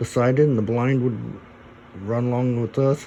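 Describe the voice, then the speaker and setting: A man with a Midwestern US accent, medium in pitch, fairly even in intonation, at a moderate pace. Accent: US Midwest. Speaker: vlogger. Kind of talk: casual chat.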